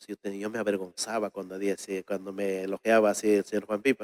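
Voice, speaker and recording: The man's pitch is fairly low and his pace moderate. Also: dry, close sound with no echo. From Peru, Ayacucho (Huanca Sancos). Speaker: folk singer. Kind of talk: interview.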